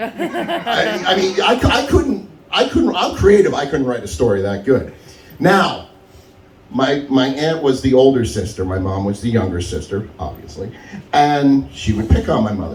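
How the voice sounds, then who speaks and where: Amid noticeable background noise and audible room echo, a loud man speaks at a fairly slow pace with very wide pitch swings. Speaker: stand-up comedian. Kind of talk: stand-up.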